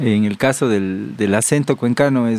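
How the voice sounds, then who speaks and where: Speaking at a moderate pace, a man has a dark, mellow tone at medium pitch with ordinary pitch variation. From Cuenca, Ecuador. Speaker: farmer and butcher. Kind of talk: podcast interview. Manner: sing-song intonation; hesitant, repeats words.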